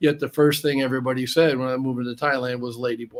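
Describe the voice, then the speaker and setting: A man's plain, everyday voice with an American accent, medium in pitch, with fairly even intonation. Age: 60s. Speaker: expat guest. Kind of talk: casual interview chat.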